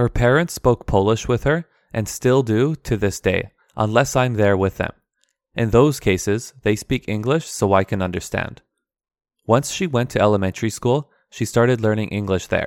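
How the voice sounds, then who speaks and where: A man's medium-pitched voice with a Canadian accent, ordinary pitch variation and a moderate pace, dry and close with no echo, in a very clean recording with a silent background. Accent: Canadian English, native. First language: Aramaic dialect. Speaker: podcast host, English teacher. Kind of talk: scripted-style monologue, educational podcast. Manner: clear, formal, measured.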